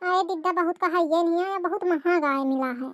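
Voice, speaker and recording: A squeaky, cartoonish character voice at a moderate pace. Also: female-sounding voice, extremely high pitch for a woman. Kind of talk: village cartoon comedy. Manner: hesitant, evasive.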